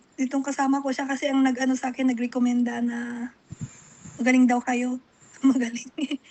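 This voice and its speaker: Over noticeable background noise, a woman with a high pitch talks at a moderate pace in a monotone, flat intonation. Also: long, frequent pauses. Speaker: caller. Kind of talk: phone consultation.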